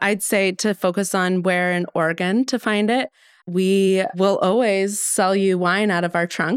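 Very even in loudness, a woman with a plain, everyday voice speaks at a fairly slow pace and medium pitch, her intonation fairly even, in a very clean recording with a silent background. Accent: American. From Colorado, US (suburbs south of Denver). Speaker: winemaker. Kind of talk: casual chat.

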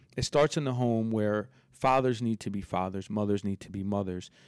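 In an unremarkable speaking voice, a man talks at a moderate speed and medium pitch. His intonation is fairly even. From Philadelphia area (Villanova), moved from New York at eleven. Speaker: fashion entrepreneur. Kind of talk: casual chat.

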